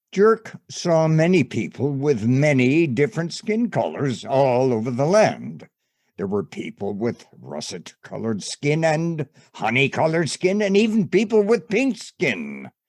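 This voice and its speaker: A man uses a put-on character voice pitched fairly high. He talks at a moderate pace. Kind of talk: bedtime story. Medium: stage play. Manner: measured, wry.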